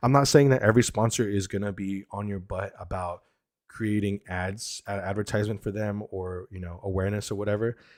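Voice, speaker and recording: With a fairly low pitch and an ordinary speaking voice, a man talks at a fairly quick pace, his loudness swinging widely. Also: very clean recording, silent background. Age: 30s. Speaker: airsoft streamer and content creator. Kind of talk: casual live stream chat. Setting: live stream. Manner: casual, filler-heavy.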